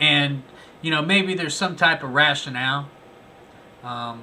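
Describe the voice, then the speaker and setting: There is audible room echo around a man whose voice sits fairly high and shows ordinary pitch variation. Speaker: first amendment auditor and video commentator. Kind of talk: video commentary review. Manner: animated.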